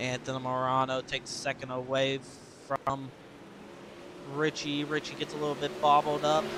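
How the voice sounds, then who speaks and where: Amid noticeable background noise, a man with fairly high pitch speaks in a monotone, flat intonation, leaving long, frequent pauses. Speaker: sim racing commentator. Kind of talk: live commentary. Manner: fast.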